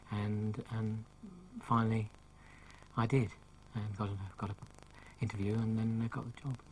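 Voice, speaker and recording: A man speaking at a moderate pace with long, frequent pauses and flat, monotone intonation. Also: medium pitch for a man. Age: 60s. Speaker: comic illustrator. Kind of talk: TV interview. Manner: halting, frequent ums.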